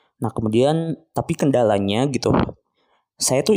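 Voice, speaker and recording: At a fairly slow pace, a man speaks at medium pitch, his tone relaxed, dark and mellow. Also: very clean recording, silent background. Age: 20s. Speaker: podcast host, postgraduate student in Islamic education. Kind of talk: solo reflective monologue. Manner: casual, relaxed.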